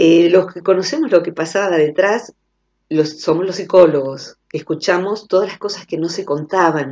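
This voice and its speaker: A woman with an unremarkable speaking voice talks at a moderate pace and a fairly low pitch. Her pitch varies in an ordinary way, while her loudness swings widely. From Argentina. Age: 50s. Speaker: psychologist. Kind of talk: radio interview. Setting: phone call. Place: studio.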